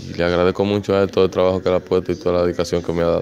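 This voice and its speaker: A man with a Dominican accent speaks in a very deep, low pitch with monotone, flat intonation, in a dry sound with no echo and light background noise. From Dominican Republic. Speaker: professional baseball outfielder. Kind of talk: interview answer. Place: stadium. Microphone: handheld.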